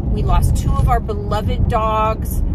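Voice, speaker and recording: A woman talks fairly slowly, the sound dry with no echo, while loud background noise runs behind her. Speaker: vlogger and weight loss coach. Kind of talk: casual vlog talk to camera. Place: car. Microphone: phone near.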